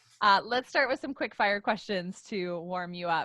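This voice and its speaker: A woman speaks in a plain, everyday voice. Her pace is moderate, and her intonation is lively. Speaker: podcast host. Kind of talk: podcast interview.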